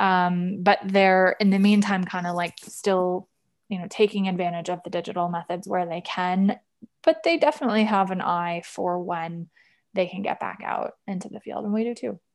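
A woman with an American accent and a plain, everyday voice speaks at a moderate pace and medium pitch in fairly even intonation, on a very clean recording with a silent background. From US Midwest, Wisconsin. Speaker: market research executive. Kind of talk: podcast interview.

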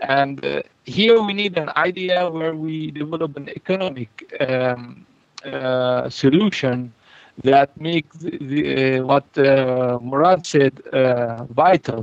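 A speaker with an Arabic accent talks at a very slow pace. The sound is dry and close, with no echo. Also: man, fairly high pitch for a man, ordinary pitch variation. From Palestine, Jenin. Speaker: farm project organizer. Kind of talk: interview. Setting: phone call. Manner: halting. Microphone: poor phone line, digital interference.

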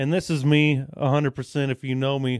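A man's unremarkable speaking voice, fairly high in pitch, at a moderate pace. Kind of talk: casual chat.

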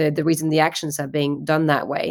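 The recording is very clean, with a silent background. A woman talks in a fairly low voice. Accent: French. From France. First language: French. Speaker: art agency founder. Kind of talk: interview.

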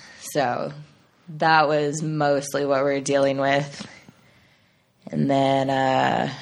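With an American accent, a woman speaks at a very deep, low pitch. Audible room echo is present. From Chino, Southern California. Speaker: musician, band frontwoman. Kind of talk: casual chat. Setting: in person, pre-quarantine recording.

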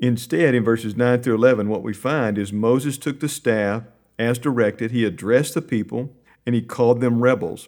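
A man at medium pitch, with an ordinary speaking voice and ordinary pitch variation, in a very clean recording against a silent background. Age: 50s. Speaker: Bible curriculum team leader. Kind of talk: Bible study discussion.

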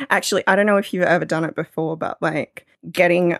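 A woman with an Australian accent at a fairly quick pace, in a dry, close sound with no echo. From Australia, northeast New South Wales. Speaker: podcast producer and radio broadcaster. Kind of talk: casual chat.

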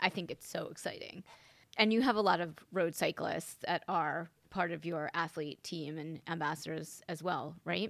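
In a very clean recording with a silent background, a woman with a normal speaking voice talks at a moderate pace, her pitch fairly low with ordinary variation. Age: 50s. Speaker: podcast host. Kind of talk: interview.

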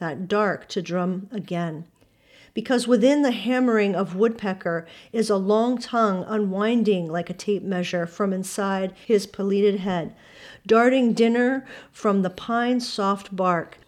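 A woman with an unremarkable speaking voice talks at a fairly slow pace, medium in pitch with ordinary pitch variation, over a quiet background. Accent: American. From Pennsylvania, US.

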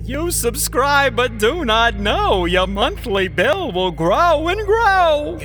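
A man puts on a character voice and talks at a very slow pace, with clear background noise behind him. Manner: sly, scheming.

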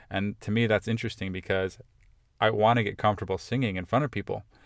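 A man with an American accent, fairly low in pitch, his intonation fairly even, on a very clean recording with a silent background. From Ohio, US Midwest. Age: 30s. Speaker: podcast host. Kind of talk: casual solo monologue. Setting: in a car, rain outside.

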